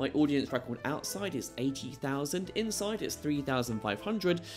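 A man's pitch swings very widely as he talks fairly quickly, with music playing in the background. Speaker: event host and charity auctioneer. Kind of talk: event host showreel, promotional first-person pitch.

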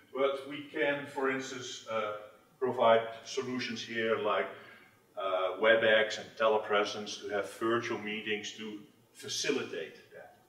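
A man talks at a fairly slow pace with ordinary pitch variation and big swings in loudness, and the room echo is audible. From Netherlands. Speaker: tech industry manager. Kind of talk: conference presentation. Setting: stage with audience. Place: meeting room.

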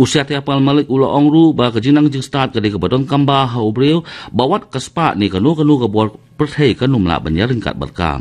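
A man at a moderate pace with lively intonation and hardly any pauses. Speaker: radio newsreader. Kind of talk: news reading. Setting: studio. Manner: formal; steady, even-paced bulletin delivery. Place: studio.

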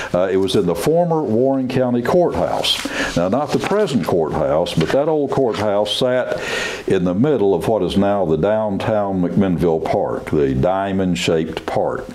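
The voice makes very wide pitch swings over light background noise. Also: man, fairly low pitch for a man. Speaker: community TV host. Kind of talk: interview introduction and questions. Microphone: lapel.

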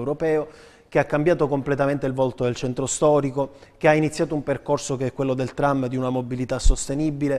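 A man's very fast speech at a fairly high pitch, with fairly even intonation. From Sicily, Trapani; Sicily. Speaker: city councillor and politician; city councillor, politician. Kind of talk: political interview. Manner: formal. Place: studio. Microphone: lapel.

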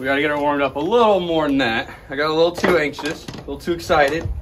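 Over faint background music, a man talks at a fast pace with a fairly high pitch, a fairly bright tone and ordinary pitch variation.

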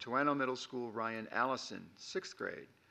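The man speaks at a fairly slow pace with ordinary pitch variation. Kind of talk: formal report announcements. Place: meeting room. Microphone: podium.

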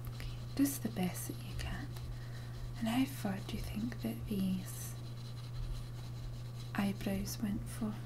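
Soft-spoken and very slow, a woman talks with long, frequent pauses over noticeable background noise. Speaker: witness. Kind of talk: role-play interview questions. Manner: soft, gentle ASMR role-play speech. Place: home room. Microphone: webcam.

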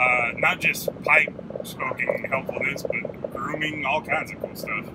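The speech moves at a fairly slow pace. Loud background noise sits behind it. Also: man. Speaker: pipe smoking vlogger. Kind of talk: casual vlog chat. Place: car.

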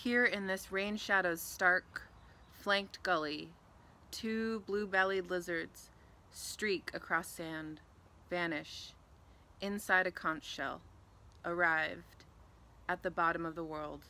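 Very slow, fairly even speech in a bright, sharp tone, broken by long, frequent pauses. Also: woman, fairly low pitch for a woman. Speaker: community engagement manager, reading a poem. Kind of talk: poetry reading. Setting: outdoors in a garden. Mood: calm, soft, reflective. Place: garden. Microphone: phone near.

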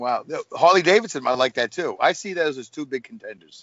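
With an American accent and an unremarkable speaking voice, a man talks at a fairly quick pace with lively intonation. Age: 50s. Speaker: truck driver and podcaster. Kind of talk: casual chat. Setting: video call.

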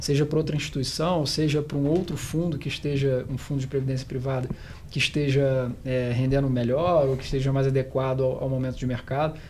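Light background noise sits behind a man with a fairly high pitch. He talks at a fairly quick pace in a monotone, flat way. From Rio de Janeiro, Brazil. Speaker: financial planner; guest. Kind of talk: panel discussion. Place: meeting room. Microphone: studio mic.

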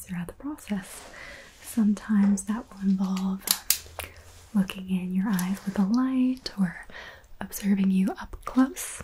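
A soft-spoken woman with a gentle tone talks at a fairly slow pace with fairly even intonation over light background noise. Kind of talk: soft-spoken role-play talk to the viewer. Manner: soft-spoken, gentle ASMR voice. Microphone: studio mic.

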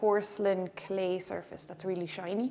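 The speaker talks with a western Irish accent and fairly even intonation. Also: woman. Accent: Irish (west of Ireland). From Ireland, Galway; Ireland. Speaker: visual artist. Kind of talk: gallery tour interview. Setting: art gallery. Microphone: lapel.

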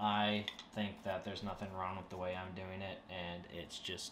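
A man speaks at a fairly slow pace. There is light background noise. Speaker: hobby woodworking channel host. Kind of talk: casual vlog chat. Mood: wry, self-mocking. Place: home room. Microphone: camera far.

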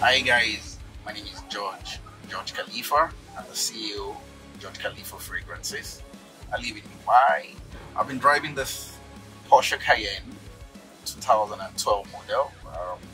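Faint music plays in the background as a man speaks at a very slow pace with long, frequent pauses and big swings in loudness. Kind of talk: testimonial interview talk. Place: car.

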